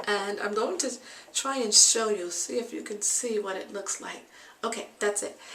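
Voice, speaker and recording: Audible room echo surrounds a woman with a fairly high pitch. She talks at a moderate pace with ordinary pitch variation. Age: 60s. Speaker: beauty and health vlogger. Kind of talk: tutorial. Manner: casual, with frequent fillers.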